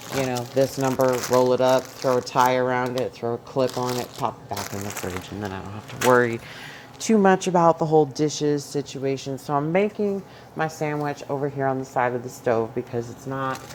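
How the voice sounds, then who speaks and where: Very deep and low in pitch, a woman speaks with an American accent at a fairly quick pace. Her pitch variation is ordinary, and there is noticeable background noise. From New York. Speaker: home cook vlogger with chronic illness. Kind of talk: cooking tutorial. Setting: home kitchen. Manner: loud; animated.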